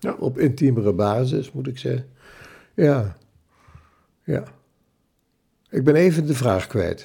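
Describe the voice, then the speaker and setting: The voice has a dark, mellow tone with vocal fry and lively intonation. It moves at a very slow pace with long, frequent pauses. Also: man, medium pitch for a man. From Zwolle, Netherlands. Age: 80s. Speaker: retired printing executive and church elder. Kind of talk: casual interview, recounting life story. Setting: home kitchen table with microphone.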